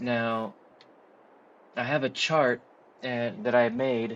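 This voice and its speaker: This man talks at a medium pitch. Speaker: gaming tutorial youtuber. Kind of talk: tutorial. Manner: halting, many fillers.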